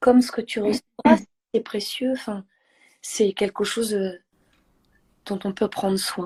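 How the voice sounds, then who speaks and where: Her dark, mellow tone sits at a fairly high pitch as the woman speaks fairly slowly with fairly even intonation and long, frequent pauses, in a dry, close sound with no echo. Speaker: singer, poet, actress. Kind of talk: interview answer.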